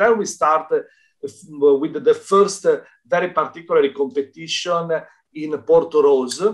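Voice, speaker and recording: Over a quiet background, a man with an Italian accent speaks at a fairly high pitch with ordinary pitch variation. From Italy. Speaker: dance federation representative. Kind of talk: interview testimony. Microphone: video call.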